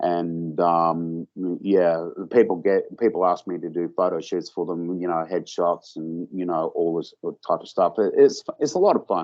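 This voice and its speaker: A man speaks at a moderate pace. He has an Australian accent. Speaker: author and film producer. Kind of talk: interview. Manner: halting, many fillers and repeats.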